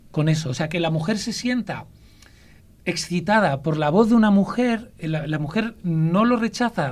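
Very wide pitch swings and a moderate pace in a man's speech. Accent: Castilian. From Ávila, central Spain. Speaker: storyteller. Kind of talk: casual chat.

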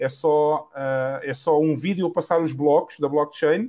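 A man's fairly high-pitched voice with ordinary pitch variation, on a very clean recording with a silent background. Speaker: podcast host, bitcoin advocate. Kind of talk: casual interview chat.

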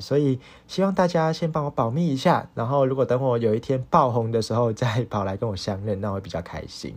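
The intonation of this man is lively. His recording is very clean, with a silent background. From Hong Kong. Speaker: podcast host, university student. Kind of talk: solo casual monologue, unscripted. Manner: halting, many fillers.

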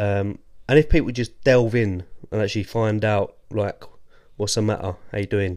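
A man with an English accent, fairly low in pitch, at a moderate pace with ordinary pitch variation. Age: 30s. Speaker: podcast guest, host's friend. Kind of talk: casual chat.

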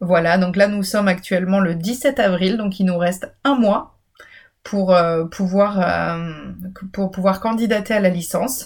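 At a fairly slow pace, a woman speaks in a somewhat breathy medium pitch with ordinary pitch variation. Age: 30s. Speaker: university program director and podcast host. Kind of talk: informational solo podcast. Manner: hesitant with fillers.

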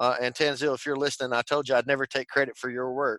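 A bright, sharp tone with a strong Texan accent, dry and close with no echo against a quiet background. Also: man. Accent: Texan Southern drawl, strong. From Texas. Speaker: tech company executive and evangelist. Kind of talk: interview.

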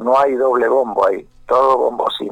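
A man at a fairly slow pace, with a dry, close sound and no echo. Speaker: pastor and rock musician. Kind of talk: phone interview.

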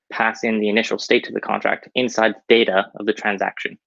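Talking at a moderate pace, a man has an ordinary speaking voice at medium pitch. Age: young. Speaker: crypto founder. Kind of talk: technical explanation.

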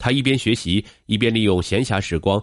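A man with a fairly low voice and vocal fry speaks at a moderate pace in a dramatic tone. The sound is dry and close with no echo, over a quiet background. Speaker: narrator of a podcast. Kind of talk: true-crime style narration. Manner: measured, dramatic storytelling pace; formal, steady, polished.

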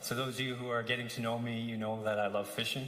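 A man talking fairly quickly in a flat monotone, with audible room echo and noticeable background noise. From Saskatchewan First Nation reserve, Canada. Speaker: assistant pastor. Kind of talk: sermon. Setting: church service. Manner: casual, warm with laughs.

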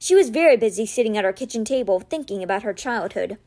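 In an unforced reading voice, the intonation moves in a lively way.

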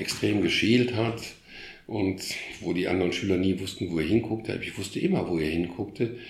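A man's fairly low, somewhat breathy voice at a fairly quick pace, with audible room echo. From Germany, Krefeld (Lower Rhine). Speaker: art historian and former museum curator. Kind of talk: casual interview. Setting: in his living room at home. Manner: halting, many repetitions.

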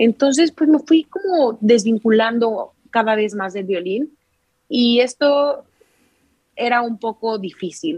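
A woman with a fairly high pitch speaks very slowly with lively intonation. The sound is dry and close, with no echo. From Mexico, Querétaro. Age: 20s. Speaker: violinist. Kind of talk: casual interview.

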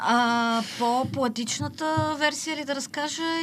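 Very slow speech against noticeable background noise. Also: woman. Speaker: social media poet. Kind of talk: casual interview.

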